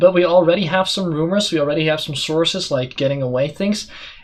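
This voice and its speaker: The speaker has a non-native accent and a fairly quick pace. Pitch varies in an ordinary way. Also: man. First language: not English. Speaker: esports caster and talk show host. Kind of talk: casual chat.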